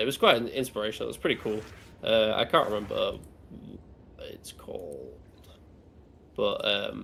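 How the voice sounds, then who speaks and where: Here is a man's voice. He keeps a moderate pace. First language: German. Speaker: stream co-host. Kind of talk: casual chat.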